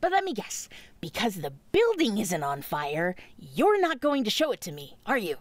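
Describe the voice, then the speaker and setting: A cartoonish character voice at a moderate pace. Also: female-sounding voice, medium pitch for a woman. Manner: sarcastic, brash.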